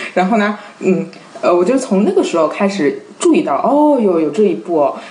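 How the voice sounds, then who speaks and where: A woman speaks at a medium pitch with very wide pitch swings. Noticeable background noise and audible room echo are present. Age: young. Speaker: literary translator. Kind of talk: casual chat.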